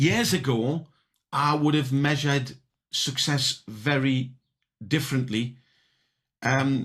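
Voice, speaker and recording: In a British accent, a man with a fairly high pitch speaks with fairly even intonation in a somewhat breathy voice. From UK. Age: 60s. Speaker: entrepreneur. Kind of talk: podcast interview. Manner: halting, many repetitions.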